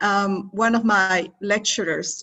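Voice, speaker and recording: With a Spanish accent, a woman speaks at a fairly slow pace and with fairly even intonation. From Mexico. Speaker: interviewer, former PhD student. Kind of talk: interview conversation. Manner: halting.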